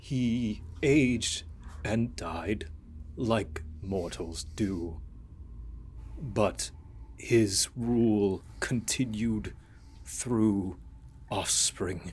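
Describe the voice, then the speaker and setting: A man's put-on character voice, fairly low in pitch, at a very slow pace with long, frequent pauses over clear background noise. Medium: actual play. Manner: solemn, measured.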